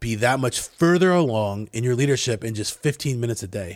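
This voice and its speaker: With ordinary pitch variation, this man talks in a medium pitch. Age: 40s. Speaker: podcast host. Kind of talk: solo podcast monologue. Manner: halting, many fillers.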